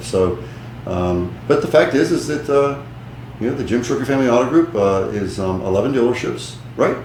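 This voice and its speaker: In an American accent, a man talks fairly quickly at medium pitch with ordinary pitch variation, amid noticeable background noise and audible room echo. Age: 60s. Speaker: businessman. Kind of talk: interview.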